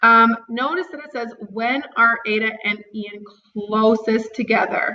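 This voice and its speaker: With a plain, everyday voice, a woman speaks with ordinary pitch variation and big swings in loudness. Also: fairly high pitch for a woman. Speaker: math teacher. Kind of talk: tutorial.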